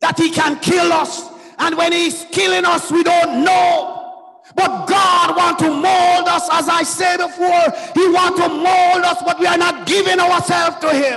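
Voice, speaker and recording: Shouting in an animated tone at a fairly slow pace, with very even loudness, hardly any pauses and crowd noise in the background. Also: man, extremely high pitch for a man. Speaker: preacher. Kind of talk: sermon with exclamations and prayer. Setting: church. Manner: animated, fervent, exclaiming 'Oh, glory' and 'hallelujah'. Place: church. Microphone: handheld.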